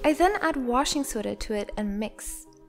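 Someone speaks at a moderate pace with lively intonation. Music plays in the background. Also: woman. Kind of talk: tutorial narration.

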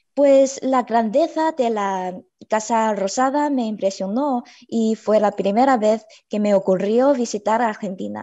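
The speaker is a woman. She goes at a fairly slow pace with ordinary pitch variation. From China. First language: Chinese (speaking Spanish). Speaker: university student; guest. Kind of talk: panel discussion. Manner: halting, many fillers. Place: home room. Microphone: video call.

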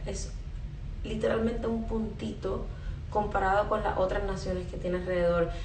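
A woman with a Puerto Rican accent, light background noise and audible room echo. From Puerto Rico. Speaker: spiritual content creator. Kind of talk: live stream monologue. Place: home room. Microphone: phone near.

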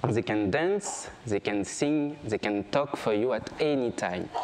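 Speaking at a very slow pace with a French accent, a man swings his pitch very widely while light background noise sits behind him. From France, grew up on a small island. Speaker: photographer. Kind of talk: stage talk. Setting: stage with audience. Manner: halting, with fillers. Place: stage.

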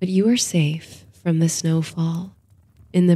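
A woman speaks very slowly in a fairly low, somewhat breathy voice with a dark, mellow tone. Her delivery is soothing and gentle, with monotone, flat intonation. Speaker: sleep story narrator. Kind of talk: bedtime story with guided meditation and countdown. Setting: studio recording for sleep audio. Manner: soothing, slow and hushed, gentle lulling cadence; dreamy, calm storytelling.

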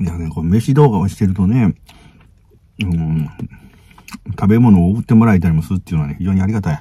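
A man with a very deep, low pitch talks at a very fast pace broken by long, frequent pauses. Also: ordinary pitch variation. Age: middle-aged. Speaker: food vlogger. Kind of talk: casual talk to camera. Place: car. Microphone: phone near.

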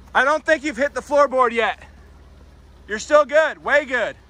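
A man's raised, projected voice has a bright, sharp tone, fairly even intonation and a fairly slow pace, with a dry sound and no echo. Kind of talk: casual vlog chat. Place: waterside. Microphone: phone near.

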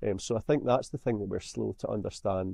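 In a quiet background, a man with a Scottish accent speaks at a fairly low pitch with a dark, mellow tone. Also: dry sound with no echo. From Scotland. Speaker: songwriter; podcast guest. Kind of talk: interview. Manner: halting. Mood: thoughtful, earnest. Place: home room. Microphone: webcam.

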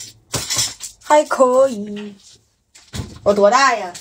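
With light background noise, a woman speaks with ordinary pitch variation. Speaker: livestream eating host. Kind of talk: casual livestream chat. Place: home room. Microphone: phone near.

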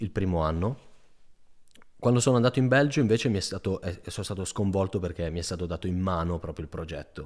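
Over a quiet background, a man speaks at a very fast pace in an animated tone. His pitch is very deep and low, with ordinary pitch variation. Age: 20s. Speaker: PhD student; podcast guest. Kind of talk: casual interview chat. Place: studio. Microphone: studio mic.

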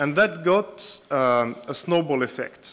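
Delivered at a very slow pace, the speech shows ordinary pitch variation. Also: man. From Tunisia. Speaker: internet activist; speaker. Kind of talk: conference panel talk. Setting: stage with audience. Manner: halting. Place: hall. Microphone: podium.

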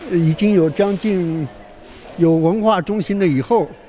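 Over light background noise, a man with a high pitch and ordinary pitch variation talks at a fairly slow pace. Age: 80s+. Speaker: calligraphy teacher. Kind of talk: news interview soundbite. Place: hall. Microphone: handheld.

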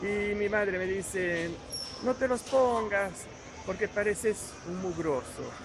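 A man with a high-pitched voice talks amid noticeable background noise. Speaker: youtuber; vlogger. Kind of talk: casual vlog narration. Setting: hypermarket. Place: shop. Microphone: phone near.

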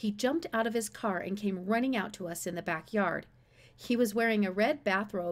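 Ordinary pitch variation colors this natural reading voice.

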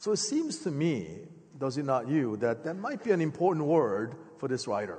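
A man speaks at a moderate pace with a fairly high pitch. His voice moves in very wide pitch swings. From born in Korea, grew up in the US (Philadelphia). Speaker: preacher. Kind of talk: sermon. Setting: church sanctuary with congregation. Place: church. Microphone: headset.

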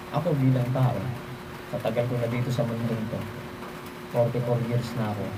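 Noticeable background noise and audible room echo surround a medium-pitched man speaking at a fairly quick pace. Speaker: folk healer and amulet practitioner. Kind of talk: religious talk on protection against witchcraft. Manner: halting, many fillers.

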